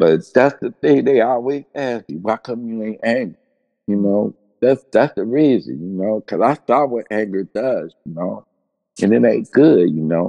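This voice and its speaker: Speaking with an American accent at a moderate pace, a man with a medium-pitched, dark, mellow voice swings very widely in pitch, the sound dry and close with no echo over a quiet background. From Cincinnati, Ohio. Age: 60s. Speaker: death row exoneree and abolition activist. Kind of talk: interview testimony. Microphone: audio issues, connection dropouts.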